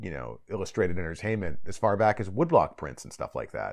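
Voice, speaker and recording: In a very clean recording with a silent background, a man with an American accent uses vocal fry and very wide pitch swings. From US, Northern Virginia / DC suburbs. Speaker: author and translator. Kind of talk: casual interview.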